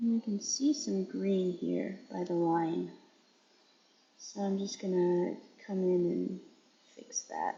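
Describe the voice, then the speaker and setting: Somewhat breathy, a woman talks at a very slow pace with long, frequent pauses. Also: medium pitch for a woman, ordinary pitch variation. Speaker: nail artist streamer. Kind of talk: live-stream tutorial. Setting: live stream.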